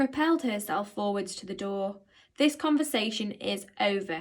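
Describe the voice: The words are read aloud plainly. Lively intonation runs through the reading.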